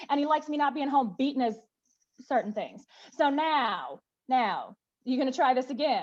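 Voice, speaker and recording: A woman talks in an animated tone with a high voice and ordinary pitch variation. Her pace is moderate, broken by long, frequent pauses. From US South. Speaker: activist. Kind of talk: panel discussion.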